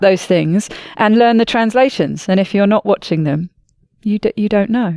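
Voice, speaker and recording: A woman with a British accent speaks at a moderate pace and medium pitch. The recording is dry and close, with no echo. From Britain. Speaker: podcast host. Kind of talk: casual podcast conversation.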